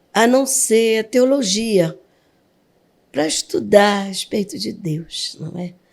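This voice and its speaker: A woman is speaking. Her pace is very slow. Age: 60s. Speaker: pastor. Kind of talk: testimony.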